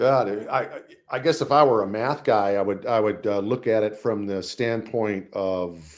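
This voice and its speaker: This man has an unremarkable speaking voice, fairly low in pitch with ordinary pitch variation, and he talks at a moderate pace. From US, East Coast and California. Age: 60s. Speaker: jazz trumpeter and educator. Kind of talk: interview. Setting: live stream.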